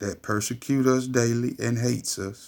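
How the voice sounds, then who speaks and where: The delivery is animated, on a very clean recording with a silent background. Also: man. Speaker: religious commentator. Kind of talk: religious commentary video.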